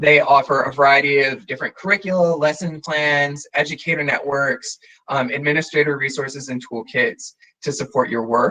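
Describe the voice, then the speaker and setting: A man with a fairly high pitch speaks with fairly even intonation. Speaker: conference presenter. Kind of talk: presentation. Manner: fast.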